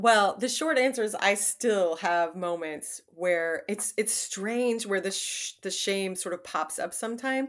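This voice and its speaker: A woman with an unremarkable speaking voice talks at a fairly slow pace in a medium pitch, with ordinary pitch variation and hardly any pauses. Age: 40s. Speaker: writer and memoirist. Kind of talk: casual interview.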